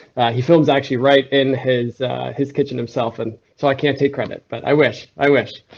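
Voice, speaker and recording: With an unremarkable speaking voice, this man keeps to a medium pitch and talks at a moderate pace. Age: 20s. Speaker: photographer and videographer, small business owner. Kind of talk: career talk to students. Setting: video call, on a client's set.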